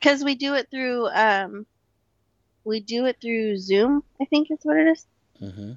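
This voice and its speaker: The sound is dry and close with no echo as a woman with a fairly high voice speaks fairly slowly, her intonation lively and her pauses long and frequent. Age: 20s. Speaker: host's stepsister, returning co-guest. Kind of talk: casual chat.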